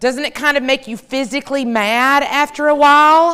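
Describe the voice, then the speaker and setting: A woman speaks loudly in an American accent. Her tone is bright and sharp. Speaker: professor and keynote speaker. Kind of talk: keynote talk to a live audience. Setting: stage with audience. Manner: fast.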